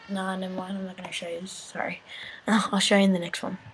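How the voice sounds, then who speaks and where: A woman talks at a medium pitch with noticeable background noise in the recording. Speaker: video tutorial maker. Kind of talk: tutorial. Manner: pitch-altered with software; casual.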